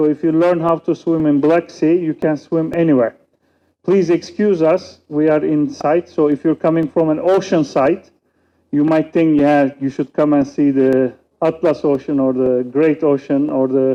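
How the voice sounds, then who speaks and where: This man's voice sits at a fairly high pitch. His loudness stays very even, and his intonation is fairly even too. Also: moderate pace. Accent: Turkish. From Turkey. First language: Turkish. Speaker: political scientist and youth researcher. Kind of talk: conference panel talk. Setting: conference stage with audience.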